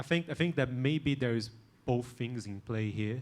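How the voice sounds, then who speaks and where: A man with a non-native accent speaks at medium pitch. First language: not English. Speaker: conference panelist. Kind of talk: panel discussion.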